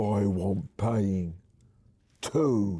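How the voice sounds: Pitching his voice fairly low, this man performs a put-on character voice.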